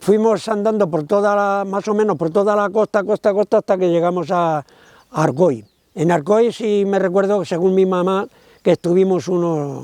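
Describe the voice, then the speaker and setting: High-pitched for a man, his dark, mellow tone moves at a moderate pace with ordinary pitch variation, recorded dry and close with no echo. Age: 80s+. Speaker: interviewee, son of a deportee. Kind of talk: testimony. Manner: halting.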